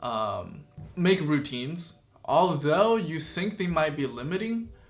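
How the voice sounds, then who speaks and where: A man's high voice in a Chinese accent at a very slow pace, with audible room echo. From China (Chongqing), moved to Canada as a child. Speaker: YouTuber. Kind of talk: casual Q and A vlog. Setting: sitting in front of camera with a light.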